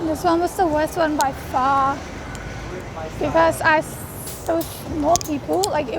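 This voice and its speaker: A woman with a high pitch and fairly even intonation talks at a moderate pace over noticeable background noise. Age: 20s. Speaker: vlogger with agoraphobia. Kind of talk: vlog. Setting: outdoors on a walk. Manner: halting.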